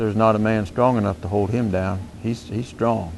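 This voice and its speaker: In a calm tone, a man speaks at a fairly low pitch. His pace is moderate and his intonation fairly even. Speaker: horse trainer. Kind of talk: tutorial. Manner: calm, mild tone; soft-spoken.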